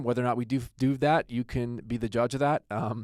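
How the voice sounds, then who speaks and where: In a very clean recording with a silent background, a man with a normal speaking voice and an American accent talks at a fairly quick pace with fairly even intonation. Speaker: attorney and podcast host. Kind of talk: podcast introduction. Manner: casual, joking.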